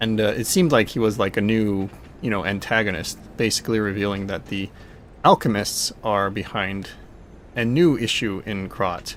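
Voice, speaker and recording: A soft-spoken man talks at a moderate pace. His pitch is fairly low, with ordinary variation. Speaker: video game streamer. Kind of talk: live gameplay commentary. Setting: live stream. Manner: casual, rambling with fillers.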